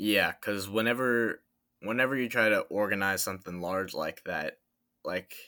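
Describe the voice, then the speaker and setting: Bright, sharp tone from a man with an American accent, very clean recording, silent background. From Florida (Tampa). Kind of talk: casual chat.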